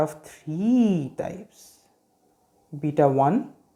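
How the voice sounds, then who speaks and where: The speaker talks with an Indian accent in a very clean recording with a silent background. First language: Hindi. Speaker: medical education youtuber. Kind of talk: lecture. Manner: hesitant with fillers.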